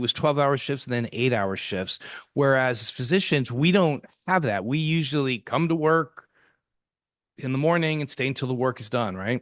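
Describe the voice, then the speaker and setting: Over a quiet background, a man speaks fairly quickly at a medium pitch with ordinary pitch variation. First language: French. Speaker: infectious diseases physician. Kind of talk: interview answer.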